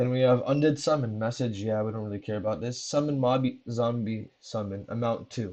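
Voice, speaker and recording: The tone is dark and mellow, the pace fairly quick, and the pitch variation ordinary. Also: man. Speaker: Minecraft plugin tutorial maker. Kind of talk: tutorial. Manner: fast.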